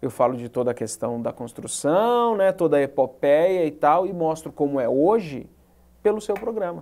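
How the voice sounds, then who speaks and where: In a dark, mellow tone, a man speaks at a moderate pace with a fairly high pitch and very wide pitch swings. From Brasília, Brazil. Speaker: journalist and web show host; journalist, web show host. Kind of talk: interview. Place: studio. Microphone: lapel.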